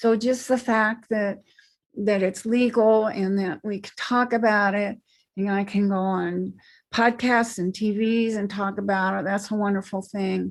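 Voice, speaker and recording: The voice has an American accent and monotone, flat intonation. The background is quiet. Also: woman. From New York, Brooklyn. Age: 80s+. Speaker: end-of-life advocate and cancer patient. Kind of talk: interview.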